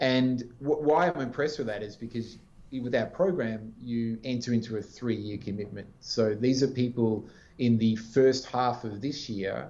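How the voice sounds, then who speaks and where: With an Australian accent, a man talks at a moderate pace in a dark, mellow tone of medium pitch and ordinary pitch variation. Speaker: business executive. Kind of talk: interview.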